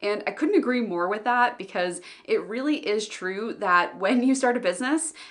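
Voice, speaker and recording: A woman's animated, lively-sounding voice with noticeable background noise. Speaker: business owner and online educator. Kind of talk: vlog monologue. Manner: fast.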